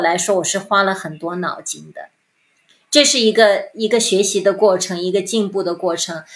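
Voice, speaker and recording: A woman's medium-pitched voice at a moderate pace. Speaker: former advertising executive. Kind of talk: interview. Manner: halting.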